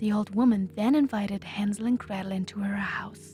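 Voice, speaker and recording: Soft-spoken and fairly slow, a woman talks in a German accent with music in the background. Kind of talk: bedtime story.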